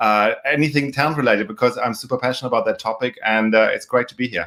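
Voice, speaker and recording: A man with a German accent talks very fast at a medium pitch, with ordinary pitch variation. His tone is bright and sharp. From Germany. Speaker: recruitment and talent professional. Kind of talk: interview.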